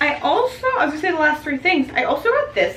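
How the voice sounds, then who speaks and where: A woman's voice with very wide pitch swings, over noticeable background noise. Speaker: YouTuber and wedding photographer. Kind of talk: casual haul video talk. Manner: fast; chatty, filler-heavy.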